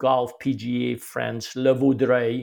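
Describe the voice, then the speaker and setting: A man at a medium pitch, fairly slow pace. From Quebec, Canada. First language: French. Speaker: golf instructor. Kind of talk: interview conversation.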